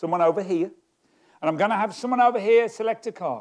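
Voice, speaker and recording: A man speaks with a southeast English accent at a high pitch. His pitch swings very widely against a quiet background. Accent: southeast English (Kent). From Kent, England. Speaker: magician. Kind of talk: stage magic performance. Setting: stage with audience. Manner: comic, conversational patter.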